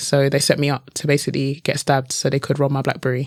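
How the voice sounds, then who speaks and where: Speaking with a British accent, a woman has a very deep, low pitch. Her pace is fairly quick. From London, England. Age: 20s. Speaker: motivational speaker and author. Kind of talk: podcast interview.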